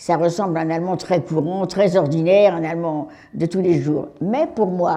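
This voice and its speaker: A woman speaks. Her tone is dark and mellow. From France, Paris. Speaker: Holocaust survivor. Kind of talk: testimony to school pupils.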